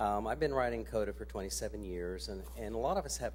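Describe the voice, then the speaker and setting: Someone with an American accent speaks at a fairly quick pace with lively intonation. Music plays in the background, and room echo is audible. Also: man. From central Ohio, US Midwest. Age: 60s. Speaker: resident speaking at public comment. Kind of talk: public comment at a council meeting. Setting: city council meeting.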